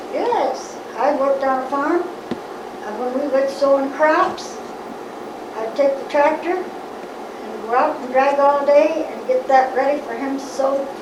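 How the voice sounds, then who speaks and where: Big swings in loudness and ordinary pitch variation, over noticeable background noise. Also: woman. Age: 80s+. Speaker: farm wife. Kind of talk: interview answer.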